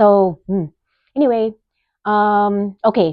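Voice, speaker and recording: A woman talks in a Bay Area accent. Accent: Californian English, Bay Area. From US West Coast, East Side San Jose, California. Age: 30s. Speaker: podcast host, nurse. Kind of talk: casual monologue. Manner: rambling, conversational, self-interrupting.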